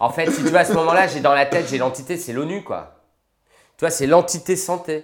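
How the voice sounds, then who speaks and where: A man speaks in a high pitch at a fairly quick pace. His pitch variation is ordinary. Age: 40s. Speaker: anesthesiologist and intensive care doctor. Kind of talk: interview.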